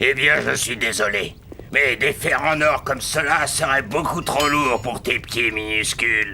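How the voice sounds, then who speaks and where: Over clear background noise, a man performs a cartoonish character voice at a medium pitch and a moderate pace. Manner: polite, patient.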